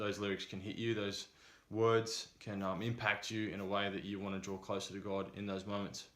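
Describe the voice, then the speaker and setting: Monotone and flat, a man with a fairly low pitch speaks at a moderate pace. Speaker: vlogger. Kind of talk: casual advice vlog. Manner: hesitant with many fillers.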